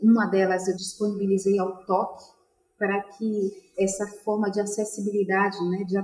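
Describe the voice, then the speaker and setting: A woman talks at a fairly slow pace and a medium pitch. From Salvador, Bahia, Brazil. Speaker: artist. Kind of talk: panel discussion.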